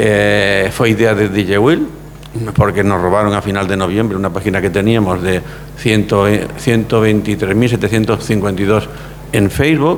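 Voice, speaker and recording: Over noticeable background noise, a man speaks at a fairly low pitch and a moderate pace, with fairly even intonation and very even loudness. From Spain, Andalusia (Córdoba), raised in Barcelona. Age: 70s. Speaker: lawyer. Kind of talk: interview. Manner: halting, many repetitions.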